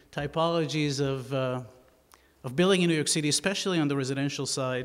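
A man speaks at a fairly quick pace with ordinary pitch variation. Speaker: guest architect lecturer. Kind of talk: lecture. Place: hall. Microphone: podium.

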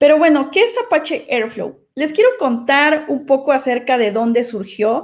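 The background is quiet as a woman talks at a fairly slow pace. Her voice is high, with lively intonation. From Mexico, Xalapa, Veracruz; Veracruz, Mexico. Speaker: data engineer and AI doctor; conference speaker. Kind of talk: conference talk. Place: home room. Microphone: webcam.

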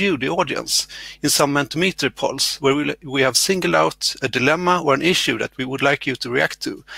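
A man speaks at a fairly quick pace with ordinary pitch variation. The sound is dry with no echo. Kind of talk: conference session introduction. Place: home room. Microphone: headset.

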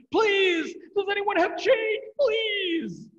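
The speaker uses a put-on character voice with an extremely high pitch. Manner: frantic, pleading.

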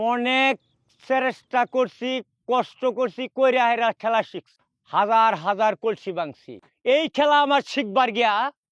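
Against a quiet background, a man with an extremely high pitch speaks in an animated tone with ordinary pitch variation and a dry, close sound with no echo. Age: 70s. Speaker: street performer. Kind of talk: casual self-promotion.

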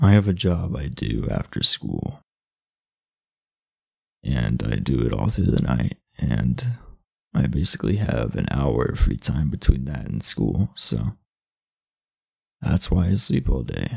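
A man puts on a character voice, extremely low-pitched with vocal fry, a slightly mellow tone and a slightly husky edge. He speaks slowly with big pitch swings and long, frequent pauses.

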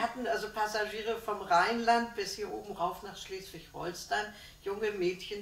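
A woman talks at a moderate pace and medium pitch with ordinary pitch variation, with light background noise and audible room echo. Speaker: contemporary witness, former shipping secretary. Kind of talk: interview answer. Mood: cheerful, smiling reminiscence. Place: home room. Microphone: camera far.

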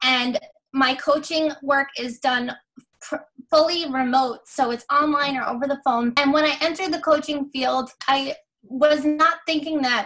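Over a quiet background, a woman with a high voice speaks at a fairly slow pace with fairly even intonation. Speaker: life coach guest. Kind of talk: interview answer. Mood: warm, cheerful, laughs. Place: home room. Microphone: video call.

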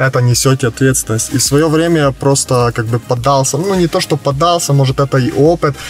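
Faint music plays in the background as a man talks at a moderate pace with fairly even intonation, the sound dry with no echo. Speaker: interviewee. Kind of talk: interview answer. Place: car. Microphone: camera far.

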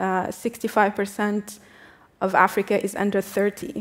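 A woman's voice with monotone, flat intonation. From Tunisia. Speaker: activist and diplomat; speaker. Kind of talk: panel discussion. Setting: stage with audience. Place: stage. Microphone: headset.

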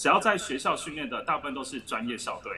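Light background noise behind a man speaking. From Taiwan. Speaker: former gymnast, gymnastics gym owner. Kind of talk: explanatory interview. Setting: video call. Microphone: video call.

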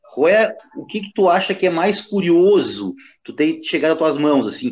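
This man speaks at a moderate pace. His intonation is lively. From Rio Grande do Sul. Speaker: capoeira master, co-host. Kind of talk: casual chat.

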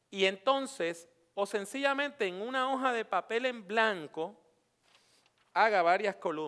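Against a quiet background, a man speaks at a fairly slow pace with a high pitch and a bright, sharp, animated tone. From Puerto Rico. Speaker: preacher and homiletics teacher; preacher, homiletics teacher. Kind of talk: workshop lecture. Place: hall. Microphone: headset.

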